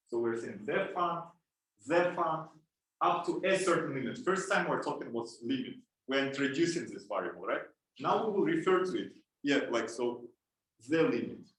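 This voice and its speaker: In a room with audible echo, a man with a high pitch talks at a moderate pace, his pitch swinging very widely and his speech broken by long, frequent pauses. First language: Russian and Kazakh. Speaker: lab instructor. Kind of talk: lecture. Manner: halting.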